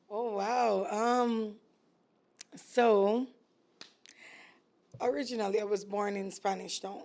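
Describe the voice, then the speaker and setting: A woman with a Jamaican accent and fairly high pitch talks at a very slow pace, leaving long, frequent pauses. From Jamaica, East Kingston. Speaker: entrepreneur, food business owner. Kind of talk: casual interview chat.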